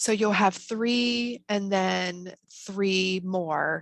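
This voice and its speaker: The woman's voice sits fairly low in pitch. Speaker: college program presenter. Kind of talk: webinar presentation. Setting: video call.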